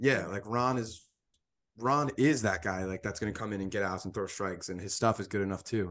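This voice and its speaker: Against a quiet background, a man with an unremarkable speaking voice talks at a fairly quick pace, fairly low in pitch with ordinary pitch variation. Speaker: sports podcast co-host. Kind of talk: casual chat.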